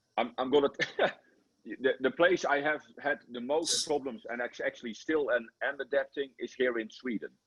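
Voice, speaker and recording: A man with a Dutch accent at a moderate pace. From Netherlands. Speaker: football coach. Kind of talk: interview. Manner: animated; halting.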